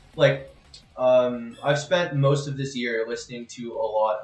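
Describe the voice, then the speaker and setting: A man is speaking. Music plays in the background. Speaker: streamer. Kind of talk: casual chat. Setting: live stream.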